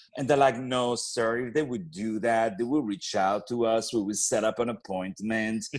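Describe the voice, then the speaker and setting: A man of medium pitch speaks at a moderate pace with a French accent. He uses ordinary pitch variation and hardly any pauses. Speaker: opera singer and actor. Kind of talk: podcast interview. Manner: repeats words, hesitant starts.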